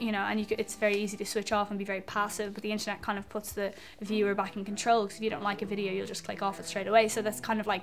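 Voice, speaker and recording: A woman with an Irish accent talks very fast at a medium pitch, barely pausing. Her intonation stays flat and monotone. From Ireland, Dublin. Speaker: singer-songwriter. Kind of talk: interview. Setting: music venue before a gig. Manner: casual, many fillers.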